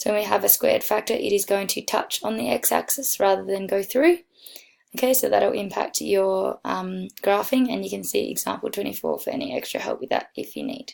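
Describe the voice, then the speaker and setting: A woman uses a raspy, put-on character voice at a fairly quick pace. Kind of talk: instructional tutoring.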